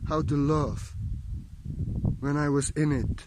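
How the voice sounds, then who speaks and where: Recorded with a dry sound and no echo, a man talks over noticeable background noise. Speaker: spiritual teacher. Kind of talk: spiritual monologue. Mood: calm, meditative, heartfelt. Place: forest. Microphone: phone near.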